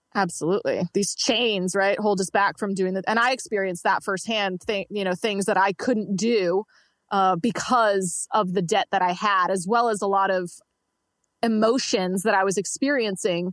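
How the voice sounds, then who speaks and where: Against a quiet background, a woman with an unremarkable speaking voice talks at a moderate pace and medium pitch, with fairly even intonation, very even loudness and a dry, close sound with no echo. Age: 20s. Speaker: entrepreneur coach and debt-free finance guest. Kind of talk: interview.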